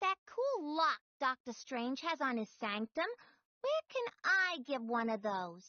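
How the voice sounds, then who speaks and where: A female-sounding put-on character voice is pitched high. It moves at a fairly slow pace. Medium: video game.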